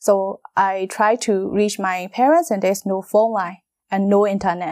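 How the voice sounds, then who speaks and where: A woman with a Burmese accent sounds dry and close with no echo in a very clean recording with a silent background. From Myanmar. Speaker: model and actress. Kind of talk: interview testimony. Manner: halting.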